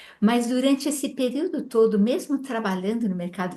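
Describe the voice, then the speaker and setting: With ordinary pitch variation, a woman speaks in a somewhat breathy voice with a dark, mellow tone. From Brazil. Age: 70s. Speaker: spiritual mentor. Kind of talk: interview on a live stream.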